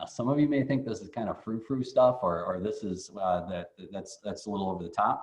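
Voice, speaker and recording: A man at medium pitch talks at a fairly quick pace with ordinary pitch variation and hardly any pauses. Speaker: economic development board president. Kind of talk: business presentation. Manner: fast.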